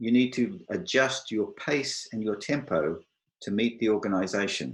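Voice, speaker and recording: With an Australian accent, a man of medium pitch speaks at a very slow pace. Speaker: IT software architect, panelist. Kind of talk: online panel presentation. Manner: clear.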